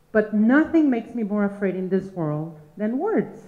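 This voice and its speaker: Noticeable background noise and audible room echo surround a woman speaking at a medium pitch. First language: Spanish. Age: old. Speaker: storyteller. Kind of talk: live storytelling. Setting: stage with audience.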